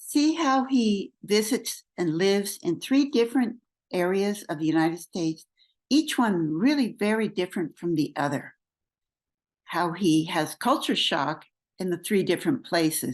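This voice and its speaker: The background is quiet. A woman at a medium pitch swings her pitch very widely. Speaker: English language coach. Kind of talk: video intro to camera. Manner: slow, clear.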